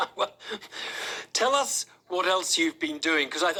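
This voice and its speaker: The voice is raised and projected, with lively intonation. Its pace is moderate. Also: man. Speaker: radio presenter. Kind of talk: radio news interview.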